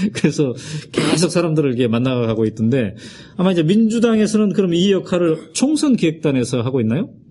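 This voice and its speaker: With noticeable background noise behind him, a man talks at a fairly quick pace and a fairly high pitch, making very wide pitch swings while keeping his loudness very even. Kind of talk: interview.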